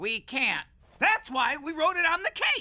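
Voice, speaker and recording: In a cartoonish character voice, the speaker talks at a moderate pace with an extremely high pitch. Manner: zany, off-kilter.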